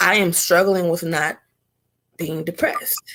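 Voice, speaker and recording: The woman's fairly low voice is monotone and flat, moving at a very slow pace. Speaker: talk show host. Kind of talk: casual conversation.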